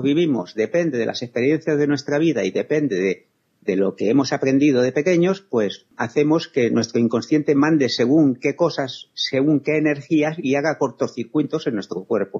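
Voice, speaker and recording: In a plain, everyday voice, a man at a fairly high pitch talks at a moderate pace with lively intonation. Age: 60s. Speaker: spiritual healer. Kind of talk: interview.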